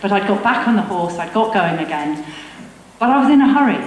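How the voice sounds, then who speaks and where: Audible room echo and noticeable background noise surround this woman's voice. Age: 60s. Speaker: veteran runner. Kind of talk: talk to a live audience. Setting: stage with audience.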